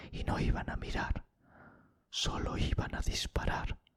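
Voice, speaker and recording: A man whispers at a fairly slow pace. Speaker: ASMR true crime storyteller. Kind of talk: ASMR true crime storytelling, narrated in a hushed tone. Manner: whispered, soft.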